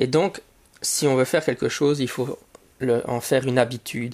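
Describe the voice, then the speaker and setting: On a very clean recording with a silent background, a man talks at a fairly quick pace and medium pitch with ordinary pitch variation. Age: 40s. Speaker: podcast host and teacher. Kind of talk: solo podcast monologue. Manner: halting, many fillers and repetitions.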